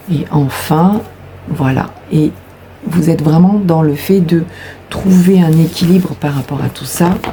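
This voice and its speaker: Over noticeable background noise, a woman with a fairly low-pitched voice speaks at a fairly slow pace. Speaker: tarot card reader. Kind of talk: tarot reading. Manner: hesitant, many fillers.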